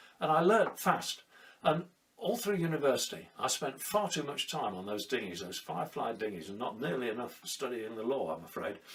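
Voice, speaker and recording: Speaking in a southern British accent at a moderate pace, the voice moves through very wide pitch swings. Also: man, medium pitch for a man. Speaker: sailor and storyteller. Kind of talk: personal storytelling monologue. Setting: at home during lockdown.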